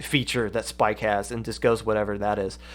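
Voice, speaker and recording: Recorded very cleanly against a silent background, a man with a Kentucky accent speaks at a moderate pace. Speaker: esports podcast host. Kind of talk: live stream commentary. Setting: live stream.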